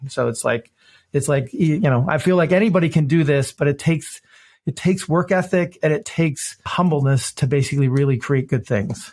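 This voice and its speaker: A man's somewhat breathy voice sits at a fairly high pitch with ordinary pitch variation and very even loudness. He talks at a fairly quick pace on a very clean recording with a silent background. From US Midwest, Detroit, Michigan. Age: 50s. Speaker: innovation consultant and author. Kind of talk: podcast interview. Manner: animated, repeats words often.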